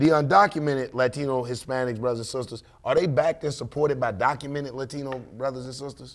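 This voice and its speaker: A man talks at a very fast pace with hardly any pauses, his tone animated and his loudness swinging widely. His pitch varies in an ordinary way against a quiet background. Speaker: talk show panelist. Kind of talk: casual discussion. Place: studio. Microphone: studio mic.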